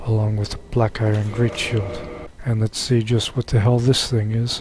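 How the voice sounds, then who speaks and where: Noticeable background noise sits behind a man talking at a moderate pace. His medium-pitched voice is monotone and flat. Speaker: gaming video creator. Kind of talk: let's play commentary. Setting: home recording late at night. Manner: quiet, subdued because of late hour.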